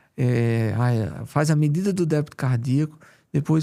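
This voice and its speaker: A man speaks with a strong Paraíba accent at a very slow pace. His tone is dark and mellow. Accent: strong Paraíba northeastern. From Paraíba, Brazilian Northeast. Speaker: cardiologist. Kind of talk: interview.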